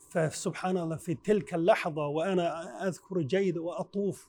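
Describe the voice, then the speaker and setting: Here a man speaks at a very slow pace. His pitch is high, and his tone is dark and mellow. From China, Henan province. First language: Chinese (speaking Arabic). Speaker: Quran reciter and imam. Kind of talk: interview testimony. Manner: halting.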